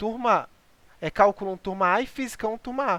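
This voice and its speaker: The recording is very clean, its background silent. Speech moves at a fairly quick pace. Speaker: programming instructor. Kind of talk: lecture. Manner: fast.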